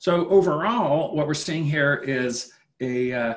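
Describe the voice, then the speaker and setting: A man with a Canadian accent and a fairly high pitch speaks with lively intonation against a quiet background. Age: 50s. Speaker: finance professor. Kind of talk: webinar lecture with Q&A. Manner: halting, repeats words. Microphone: webcam.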